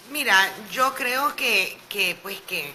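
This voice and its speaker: A woman talks very slowly, her pitch moving in a normal way, with noticeable noise behind her. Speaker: opposition politician. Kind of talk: radio interview.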